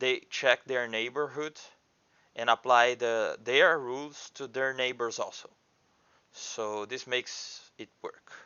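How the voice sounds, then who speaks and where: Medium in pitch, a man's voice moves with fairly even intonation. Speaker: indie game developer. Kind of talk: screen-recorded coding tutorial. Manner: halting, many fillers and restarts.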